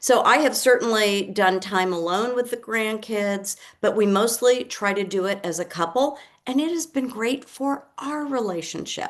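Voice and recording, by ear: At a moderate pace and with few pauses, a woman speaks at a medium pitch with ordinary pitch variation.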